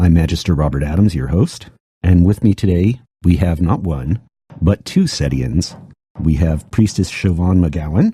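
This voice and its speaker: A man with an American accent speaks in a very deep, low pitch and a dark, mellow tone, somewhat breathy. His pace is moderate with ordinary pitch variation, and the sound is dry and close with no echo. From USA. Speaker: podcast host. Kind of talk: podcast interview.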